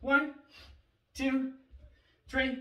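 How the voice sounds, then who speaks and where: A man speaks in a raised, projected voice. There is light background noise and audible room echo. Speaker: fitness coach. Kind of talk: exercise instruction. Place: home room. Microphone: camera far.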